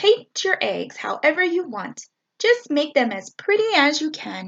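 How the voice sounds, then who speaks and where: A woman's squeaky, put-on character voice, high in pitch, with very wide pitch swings, big swings in loudness and a moderate pace. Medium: read story.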